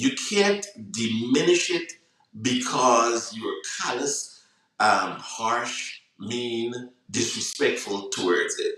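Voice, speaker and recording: A very slow-paced man with a Guyanese accent. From Guyana. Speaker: online talk show host. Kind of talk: reflective monologue on a live broadcast. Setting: live social media broadcast. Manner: hesitant, many fillers.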